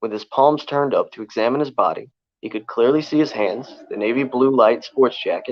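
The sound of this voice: The reading voice sounds unforced, and its pitch moves in an ordinary way. Nothing can be heard behind it.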